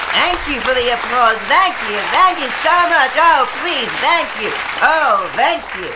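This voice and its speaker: Over crowd noise in the background, a woman uses a high pitch and a playful, theatrical tone, speaking at a fairly slow pace with very wide pitch swings. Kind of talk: over-the-top game show host parody, played for laughs with crowd interaction. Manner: playful and theatrical, pausing for imagined audience guesses and applause.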